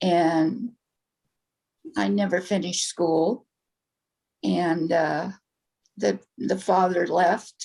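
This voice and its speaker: A woman's very slow, fairly low-pitched voice, dark and mellow in tone with vocal fry, lively intonation, very even loudness and long, frequent pauses. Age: 70s. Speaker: interviewee sharing life story. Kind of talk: interview.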